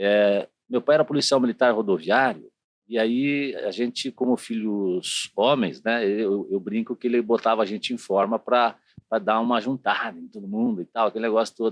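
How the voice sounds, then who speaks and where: A man talks at a moderate pace in a normal speaking voice, medium in pitch, with ordinary pitch variation. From southern Brazil, Curitiba (Paraná). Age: 50s. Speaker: city councillor and TV journalist. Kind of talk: interview. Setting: studio.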